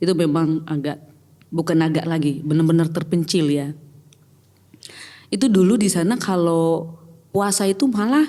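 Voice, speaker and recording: With a dark, mellow tone and fairly low pitch, a woman speaks with long, frequent pauses. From Batak, North Sumatra. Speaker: pastor. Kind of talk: casual chat. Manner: hesitant, many fillers.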